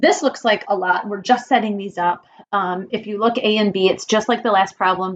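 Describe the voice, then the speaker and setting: At a moderate pace and medium pitch, a woman with a plain, everyday voice talks with ordinary pitch variation. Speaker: math teacher. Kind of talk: lecture. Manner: casual.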